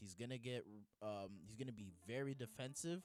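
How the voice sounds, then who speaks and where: A man talks at a moderate pace in a medium pitch. Music plays in the background. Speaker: MMA commentary youtuber. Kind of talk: casual chat. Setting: home recording with green screen. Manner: casual, stumbling over words.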